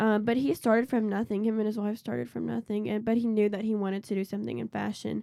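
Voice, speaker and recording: A woman talks at a very fast pace with hardly any pauses. Her dark, mellow tone sits at a fairly high pitch with fairly even intonation. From Nashville, Tennessee. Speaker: college student, magazine editor. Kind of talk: casual chat.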